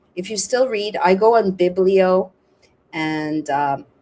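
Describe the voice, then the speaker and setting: A woman speaks at a medium pitch. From Canada. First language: French. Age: 50s. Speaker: podcast host and journalist. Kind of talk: casual chat. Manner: animated.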